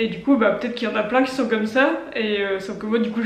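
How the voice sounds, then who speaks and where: A woman with a fairly high voice talks in a room with audible echo, noticeable background noise around her. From northern France. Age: 20s. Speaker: vlogger and entrepreneur. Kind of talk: casual vlog talk to camera. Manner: hesitant, many filler sounds.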